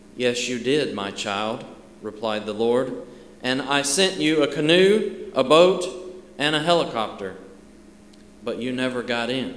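A man speaks fairly slowly with lively intonation and long, frequent pauses. Audible room echo is present. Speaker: church elder preaching. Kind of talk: sermon. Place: church. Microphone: podium.

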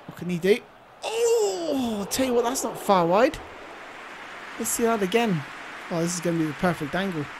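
A woman speaks at a medium pitch and a moderate pace, with an animated tone and lively intonation. Long, frequent pauses break her speech, and background noise is noticeable. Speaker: YouTube gamer. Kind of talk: gaming commentary, live play-by-play of a football video game. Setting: home recording, gameplay voiceover. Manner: excitable, animated, gushing over Messi's goal with breathless exclamations.

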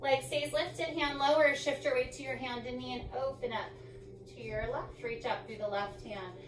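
A woman with a high pitch and ordinary pitch variation at a moderate pace, with audible room echo and music in the background. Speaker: yoga instructor. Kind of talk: instruction cues. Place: home room.

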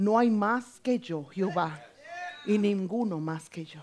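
A woman with an unremarkable speaking voice talks at a fairly slow pace against a quiet background. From Dominican Republic. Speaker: preacher. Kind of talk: sermon. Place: church.

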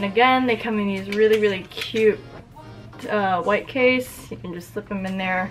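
Over clear music in the background, a woman speaks with ordinary pitch variation. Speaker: product reviewer. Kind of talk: casual unboxing review. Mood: cheerful, relaxed. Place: home room.

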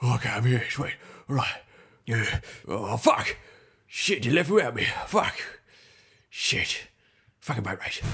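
A raspy man at a medium pitch talks at a moderate pace with lively intonation and long, frequent pauses. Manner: frantic, panicky, swearing.

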